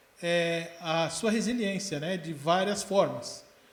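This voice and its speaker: The recording has noticeable background noise and audible room echo. The voice shows ordinary pitch variation. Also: man. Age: 60s. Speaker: co-host of church program. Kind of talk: live talk show discussion. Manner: halting, repeats words.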